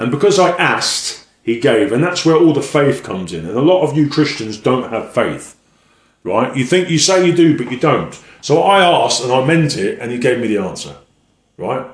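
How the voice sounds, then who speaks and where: Lively intonation with vocal fry in an English accent, at a moderate pace, with audible room echo. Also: man, fairly high pitch for a man. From England. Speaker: evangelist. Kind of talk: religious monologue.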